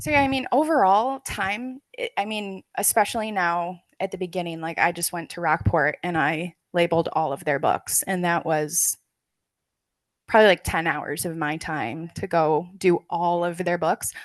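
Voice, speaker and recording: A woman with a plain, everyday voice and a fairly low pitch speaks at a moderate pace with lively intonation. The sound is dry and close with no echo, and the background is quiet. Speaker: librarian presenter. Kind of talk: conference presentation Q&A.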